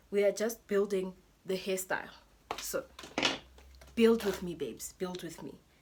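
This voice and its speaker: Amid noticeable background noise, a woman speaks at a moderate pace in a medium pitch with fairly even intonation, big swings in loudness, and long, frequent pauses. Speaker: hair YouTuber. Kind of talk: tutorial. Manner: casual, chatty.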